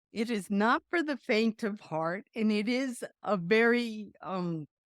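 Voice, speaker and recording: A woman with an American accent, very slow pace, and lively intonation, in a dry, close sound with no echo. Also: fairly high pitch for a woman. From Colombia, then US East Coast. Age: 60s. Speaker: Air Force veteran. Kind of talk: podcast interview.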